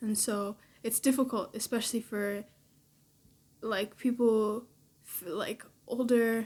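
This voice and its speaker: A woman with a Canadian accent speaks in an ordinary speaking voice, her fairly high pitch held to a fairly even intonation. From Canada. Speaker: daughter. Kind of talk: casual chat.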